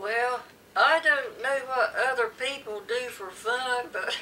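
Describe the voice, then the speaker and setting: Speaking very slowly with a Southern US accent, a woman uses a high pitch and ordinary pitch variation over light background noise. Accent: rural Southern American. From coastal North Carolina. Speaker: interviewee. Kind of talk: interview answer. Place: home room. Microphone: camera far.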